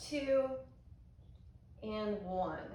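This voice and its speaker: A woman with an American accent speaks very slowly in a calm tone at a fairly high pitch. Her intonation is fairly even, and the room echo is audible. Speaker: yoga instructor. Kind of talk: guided yoga class. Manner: calm, instructive.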